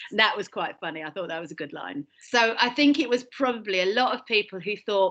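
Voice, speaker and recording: In a British accent, a woman speaks at a medium pitch with lively intonation. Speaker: British interviewee on comedy. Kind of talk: casual chat.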